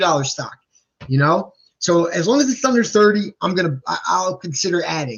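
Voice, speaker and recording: Speaking at a fairly quick pace, a man with a New Jersey accent uses a high pitch and lively intonation. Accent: New Jersey, self-described as sounding bad. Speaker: stock market youtuber. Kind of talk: live stream stock talk. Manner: halting, many repeated words and fillers; casual, animated.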